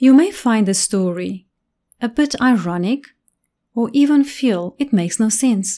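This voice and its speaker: Lively intonation rides on a dark, mellow tone delivered at a moderate pace. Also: woman. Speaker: preacher. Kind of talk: narrative sermon, storytelling; dramatic storytelling narration. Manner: animated, dramatic storyteller; expressive, suspenseful.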